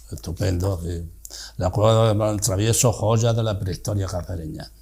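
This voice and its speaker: This man has a fairly low pitch and a dark, mellow tone that is somewhat breathy. He keeps a moderate pace with fairly even intonation. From Spain, Cáceres (Extremadura). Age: 80s+. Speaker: retired teacher, interviewee. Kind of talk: reading aloud from own memoir.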